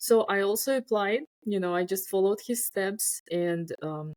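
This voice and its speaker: A woman with a Russian accent at a moderate pace, ordinary pitch variation, and a dry, close sound with no echo. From Uzbekistan. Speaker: scientist. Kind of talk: casual chat. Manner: halting.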